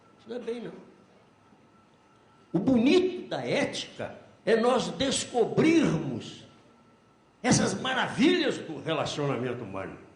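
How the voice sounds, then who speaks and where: A man speaks in an extremely high pitch, his pitch swinging very widely and his loudness shifting a lot. Long pauses come often, and the room echo is audible. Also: fairly slow pace. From Brazil, Minas Gerais (Belo Horizonte). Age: 80s+. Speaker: accounting professor. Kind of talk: lecture.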